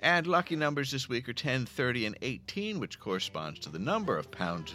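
An animated, theatrical voice in an American accent, very wide pitch swings, music in the background. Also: man. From Philadelphia area. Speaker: podcast host. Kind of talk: scripted comedic intro then casual interview.

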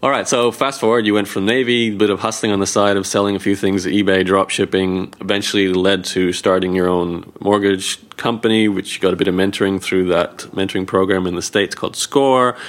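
A man speaks in an ordinary speaking voice, fairly low in pitch, with fairly even intonation. He talks at a fairly quick pace with very even loudness and hardly any pauses. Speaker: podcast host. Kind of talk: interview.

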